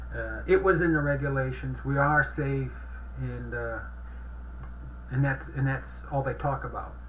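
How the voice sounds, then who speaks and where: A man's speech broken by long, frequent pauses, with audible room echo and noticeable background noise. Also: moderate pace. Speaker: citizen activist blogger. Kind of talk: casual commentary. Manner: halting.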